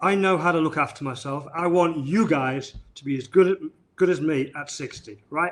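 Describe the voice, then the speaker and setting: A man with a northern English accent, fairly high in pitch, at a moderate pace, with ordinary pitch variation and big swings in loudness. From northern England. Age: 60s. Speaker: chiropractor. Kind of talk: live-streamed interview. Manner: halting, many repetitions.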